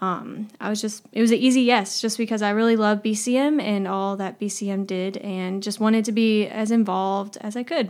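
On a very clean recording with a silent background, a woman in a normal speaking voice, fairly high in pitch, talks at a moderate pace with fairly even intonation and hardly any pauses. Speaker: associate campus minister. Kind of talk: casual chat.

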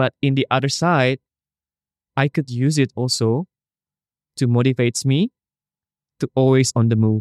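In a very clean recording with a silent background and a dry, close sound with no echo, a man with an Indonesian accent speaks at medium pitch with fairly even intonation. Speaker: travel photographer and social media creator. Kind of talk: casual interview chat. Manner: halting at times, searching for English words.

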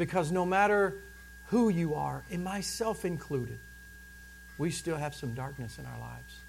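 Moderate pacing broken by long, frequent pauses, big swings in loudness, and audible room echo. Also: man. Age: 40s. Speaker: pastor. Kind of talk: sermon.

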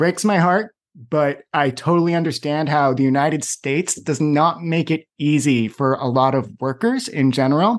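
This man has a plain, everyday voice with an American accent, pitched fairly high with ordinary variation. He talks at a moderate pace and his loudness stays very even. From Boston. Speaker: podcast host. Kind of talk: interview.

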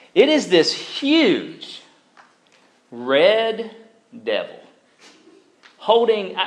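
The speaker is a man. His words echo audibly around the room. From Alabama. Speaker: campus ministry preacher. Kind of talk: sermon. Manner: casual, conversational.

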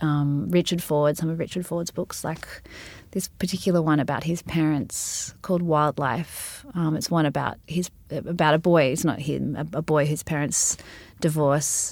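In a very clean recording with a silent background, a woman with an Australian accent speaks at a moderate pace, her very deep, low voice fairly even in intonation. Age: 30s. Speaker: singer-songwriter and novelist. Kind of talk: interview.

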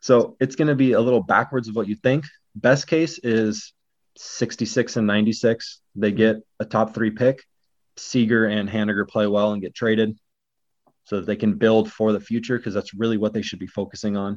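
Against a quiet background, a man with an American accent speaks at a moderate pace. He has a normal speaking voice, a medium pitch and fairly even intonation. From Northwest Washington, US. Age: 30s. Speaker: baseball blogger. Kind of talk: casual chat.

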